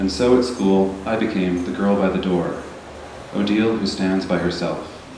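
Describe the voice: Soft-spoken, a man with a low pitch and a slightly mellow tone talks with fairly even intonation amid audible room echo.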